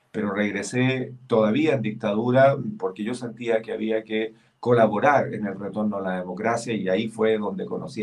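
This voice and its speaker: A man with a fairly low voice talks at a moderate speed, his pitch varying in an ordinary way. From Chile. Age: 60s. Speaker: senator. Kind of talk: political interview. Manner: halting, many fillers.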